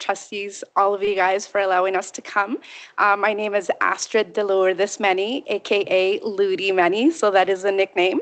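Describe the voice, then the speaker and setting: A woman speaks at a moderate pace with a medium pitch and hardly any pauses. The background is quiet. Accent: Canadian. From Canada, Chilean immigrant family. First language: Spanish. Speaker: parent presenting to school board. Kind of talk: reading prepared testimonial. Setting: public school board meeting.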